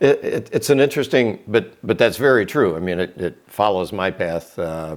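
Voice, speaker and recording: The pace is moderate. The intonation is lively. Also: man. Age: 60s. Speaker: retired farm equipment dealer. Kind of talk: interview. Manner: halting, many fillers.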